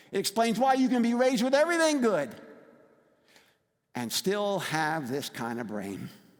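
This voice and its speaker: A man with an American accent speaks at a moderate pace, his pitch high and swinging very widely. He takes long, frequent pauses. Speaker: recovery advocate speaker. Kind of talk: public talk.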